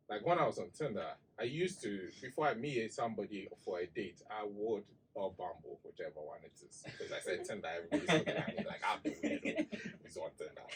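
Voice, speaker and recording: A man with a Ghanaian accent at a fairly quick pace. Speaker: digital marketing expert. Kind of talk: casual chat. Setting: studio.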